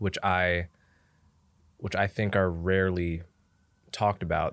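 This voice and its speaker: A man's fairly low voice with an American accent, at a fairly slow pace, in a very clean recording against a silent background. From New Jersey, Montclair. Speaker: writer and podcaster. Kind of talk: casual interview conversation.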